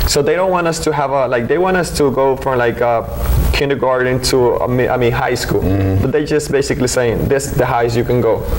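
Fairly quick speech with ordinary pitch variation and noticeable background noise. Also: man, medium pitch for a man. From Mexico, Oaxaca. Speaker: immigrant rights activist. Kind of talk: casual discussion. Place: studio. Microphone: studio mic.

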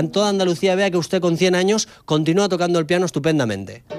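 Over music in the background, a man talks at a very fast pace in a high pitch with ordinary pitch variation. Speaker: TV reporter. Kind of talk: TV interview questions.

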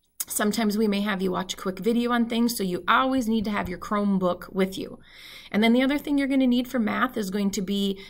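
Over a quiet background, a woman with an Upper Midwest accent speaks with ordinary pitch variation. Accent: Upper Midwest (Minnesota). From northern Minnesota. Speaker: math teacher. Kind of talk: tutorial; casual chat. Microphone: webcam.

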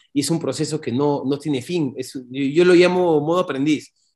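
A man speaks at a fairly quick pace with a fairly high pitch. His pitch varies in an ordinary way over a quiet background. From Peru, Lima; Peru. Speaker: entrepreneur, company owner; interview guest. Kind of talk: interview storytelling. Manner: talkative, fluent. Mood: reflective, earnest. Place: home room. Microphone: video call.

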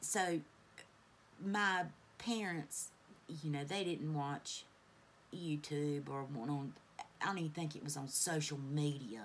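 A woman speaks at a fairly slow pace in a very deep, low voice, leaving long, frequent pauses over light background noise. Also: ordinary pitch variation. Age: 40s. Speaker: beauty YouTuber. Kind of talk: makeup tutorial chat. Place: home room. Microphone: phone near.

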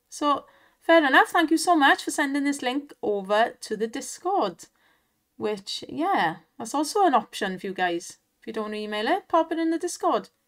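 In a very clean recording with a silent background, a woman with a Welsh accent speaks at a moderate pace and a high pitch, with very wide pitch swings and big swings in loudness. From Wales, not the valleys, east. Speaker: online slots streamer. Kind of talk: casual live commentary on slot play. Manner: animated, exclamatory.

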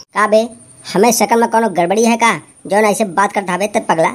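A man puts on a cartoonish character voice, pitched high. He moves at a fairly quick pace, with fairly even intonation and very even loudness.

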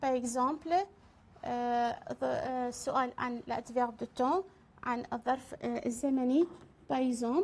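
Speaking at a very slow pace, a woman with an Iraqi accent uses a high pitch and ordinary pitch variation. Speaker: French teacher; French language teacher. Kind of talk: lecture. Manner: halting. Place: studio.

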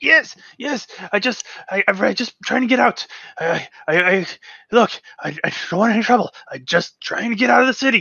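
Long, frequent pauses break up this put-on character voice, which has a fairly high pitch and a fairly slow pace. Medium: actual play. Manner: pleading, panicked, begging.

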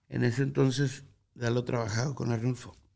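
A man's dark, mellow tone comes through with a quiet background behind him. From Guadalupe, Nuevo León, Mexico; Nuevo León, Mexico. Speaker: musician; interview guest. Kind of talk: interview. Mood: reflective, earnest. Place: studio. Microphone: studio mic.

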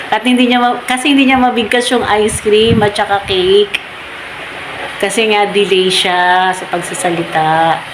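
Over noticeable background noise, a woman speaks at a moderate pace and medium pitch, with ordinary pitch variation and very even loudness. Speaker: vlogger and mother. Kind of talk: personal storytelling.

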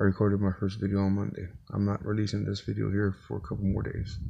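A man speaks at a fairly quick pace with fairly even intonation. His fairly low voice is somewhat breathy, with a dark, mellow tone. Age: 40s. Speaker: vlogger, single father. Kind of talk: casual vlog monologue. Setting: inside his truck. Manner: casual, halting with fillers. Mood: earnest, reflective. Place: car. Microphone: phone near.

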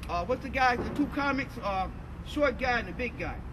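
Over noticeable background noise, a man with an American accent speaks at a moderate pace. His pitch is extremely high, with ordinary pitch variation. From United States. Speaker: civil rights activist, orator. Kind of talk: recollection, interview talk. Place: street. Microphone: camera far.

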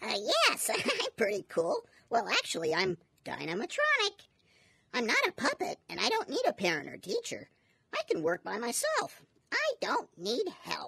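Someone performs a cartoonish character voice at a moderate pace. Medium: puppet.

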